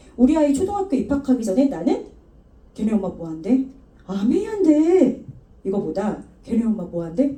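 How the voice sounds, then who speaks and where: An animated tone with very wide pitch swings and long, frequent pauses, in audible room echo. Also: woman, high pitch for a woman. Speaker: network marketing speaker. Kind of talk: motivational talk. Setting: stage with audience. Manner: fast.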